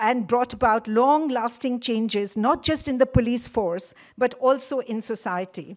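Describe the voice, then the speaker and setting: Over a quiet background, a woman with a high pitch talks at a moderate pace with ordinary pitch variation. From India. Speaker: event organizer. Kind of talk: formal welcome speech. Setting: lecture hall with audience. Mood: warm, reminiscent. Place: hall. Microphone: podium.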